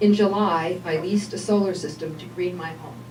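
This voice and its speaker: A woman talks in a fairly low voice. Noticeable background noise runs behind her. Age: 60s. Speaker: health coach speaking at public meeting. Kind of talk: public comment at legislature meeting. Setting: public meeting. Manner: formal.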